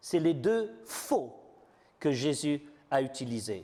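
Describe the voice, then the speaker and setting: With a non-native accent, a man speaks very slowly, his pitch swinging very widely. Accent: foreign accent in French. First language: not French (speaking French). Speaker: preacher. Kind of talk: sermon. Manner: halting, many fillers.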